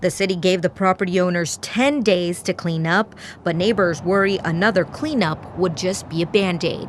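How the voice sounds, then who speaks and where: A woman with a medium-pitched voice speaks at a moderate pace with hardly any pauses and ordinary pitch variation. Noticeable background noise can be heard. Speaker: TV news reporter. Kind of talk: TV news reporter stand-up and voiceover.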